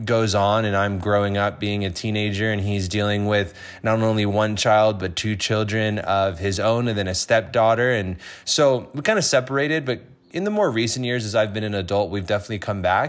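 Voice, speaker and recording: This is a man with an unremarkable speaking voice. He talks at a moderate pace with a fairly low pitch. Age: 20s. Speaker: podcast host. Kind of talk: casual chat.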